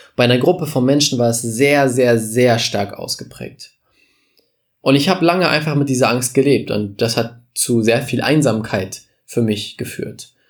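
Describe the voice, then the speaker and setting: A man with an ordinary speaking voice talks at a moderate pace, with medium pitch and ordinary pitch variation. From Germany, village. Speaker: podcast host, business coach. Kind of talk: motivational monologue. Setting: studio podcast recording.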